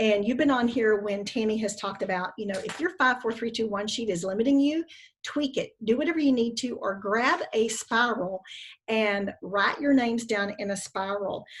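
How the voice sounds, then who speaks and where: Somewhat breathy, fairly high-pitched speech from a woman, with ordinary pitch variation, on a very clean recording with a silent background. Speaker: network marketing team leader. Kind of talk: team training call. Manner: fast.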